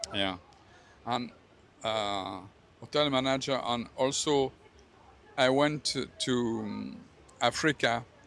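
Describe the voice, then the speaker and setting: With a French accent, a man speaks at a very slow pace with long, frequent pauses, using a medium pitch and ordinary pitch variation. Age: 70s. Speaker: retired hotel manager. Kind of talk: street interview. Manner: halting.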